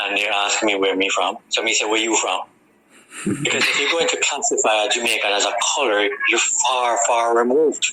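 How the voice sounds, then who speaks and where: Over noticeable background noise, a man talks at medium pitch and a fairly quick pace, with ordinary pitch variation and very even loudness. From Jamaica, Harbour View, Kingston. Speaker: radio guest. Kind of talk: radio interview conversation.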